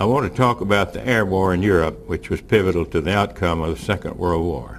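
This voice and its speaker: A man's very deep, low voice with vocal fry, very wide pitch swings and a fairly quick pace. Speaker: war veteran. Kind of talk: reading prepared speech aloud.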